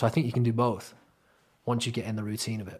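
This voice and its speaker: Somewhat breathy, a man talks at a very fast pace on a very clean recording with a silent background. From England, Crewe. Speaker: singer-songwriter. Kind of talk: casual chat.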